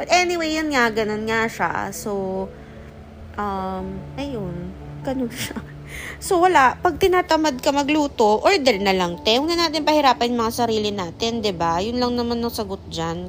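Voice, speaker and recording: Over noticeable background noise, a woman speaks fairly slowly at a fairly high pitch, her pitch swinging very widely. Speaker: podcast host. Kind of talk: casual chat. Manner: halting; spontaneous, unscripted.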